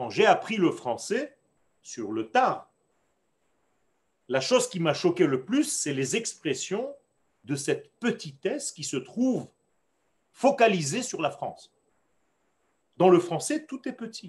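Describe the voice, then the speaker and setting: A man with a Hebrew accent talks very slowly in a high pitch, with long, frequent pauses, big swings in loudness and very wide pitch swings. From Israel. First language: Hebrew (speaking French). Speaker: rabbi teaching Torah class. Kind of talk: lecture. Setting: online class on video call.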